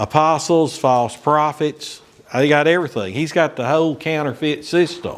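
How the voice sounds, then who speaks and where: In an American accent, a man with a fairly high pitch talks at a fairly slow pace against noticeable background noise. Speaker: Bible study teacher. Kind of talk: Bible study lesson. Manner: casual, filler-heavy with repetitions.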